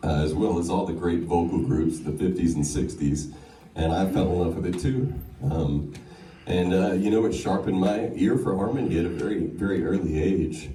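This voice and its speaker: At a moderate pace and very even loudness, a man with an American accent speaks in a very deep, low pitch with ordinary pitch variation, amid noticeable background noise and audible room echo. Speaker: singer. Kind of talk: acceptance speech. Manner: halting, many fillers.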